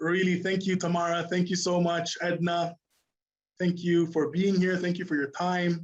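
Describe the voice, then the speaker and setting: A man speaks at a moderate pace in a high pitch. His intonation is monotone and flat. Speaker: corporate trainer. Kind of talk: live online training wrap-up. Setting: live virtual session. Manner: hesitant, many fillers.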